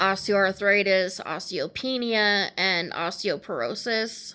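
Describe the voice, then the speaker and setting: A woman with an American accent and a bright, sharp tone, medium-pitched, at a very slow pace, in a very clean recording with a silent background. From Vermont, New England US. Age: 30s. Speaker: patient advocate. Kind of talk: personal testimony. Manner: casual with frequent filler ums.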